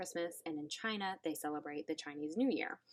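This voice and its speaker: In a Southern US accent, a woman with a fairly low pitch talks at a fairly quick pace. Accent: southern twang. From US South. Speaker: online English teacher. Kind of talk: casual chat. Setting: home classroom.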